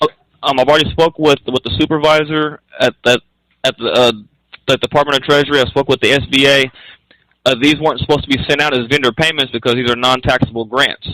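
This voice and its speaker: Dry and close with no echo, a man talks very fast in a fairly high, monotone, flat voice at very even loudness. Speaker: small business owner calling about grants. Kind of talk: phone call dispute. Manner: halting, many fillers.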